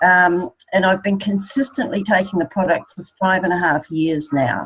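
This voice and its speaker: A woman with an ordinary speaking voice, medium in pitch, at a moderate pace with ordinary pitch variation. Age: 60s. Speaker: network marketing distributor. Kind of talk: testimony.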